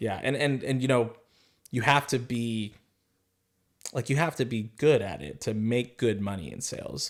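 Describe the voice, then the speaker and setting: At a moderate pace and with an American accent, the speaker uses ordinary pitch variation and long, frequent pauses on a very clean recording with a silent background. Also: man, medium pitch for a man. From Arizona. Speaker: sales professional. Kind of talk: interview answer.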